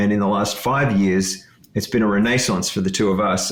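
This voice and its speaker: With a slight Australian accent, a man speaks at a fairly low pitch and a moderate pace. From Ontario, Canada, with Australian upbringing. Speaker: leadership coach and author. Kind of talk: podcast interview.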